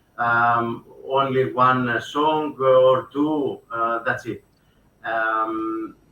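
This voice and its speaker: At a very slow pace, a man speaks in a medium pitch with a bright, sharp tone and fairly even intonation. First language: Greek. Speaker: composer and actor. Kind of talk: interview. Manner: halting, many fillers.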